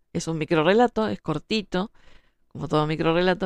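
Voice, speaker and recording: The speech comes at a very fast pace with a dry, close sound and no echo. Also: woman. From Uruguay. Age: 30s. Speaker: writer. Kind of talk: monologue talk show.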